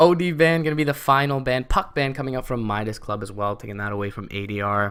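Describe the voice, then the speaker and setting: Speaking very fast, a man holds a medium pitch. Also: lively intonation. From Canada. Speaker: esports caster. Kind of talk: live commentary.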